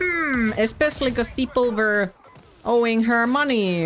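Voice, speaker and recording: Music plays in the background. A woman speaks at a high pitch with lively intonation. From Finland. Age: 20s. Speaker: video game streamer. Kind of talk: casual chat. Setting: live stream.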